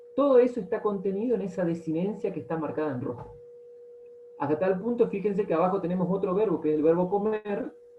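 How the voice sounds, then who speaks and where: Very fast speech over noticeable background noise. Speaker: teacher. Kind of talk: lecture. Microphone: audio cutting out.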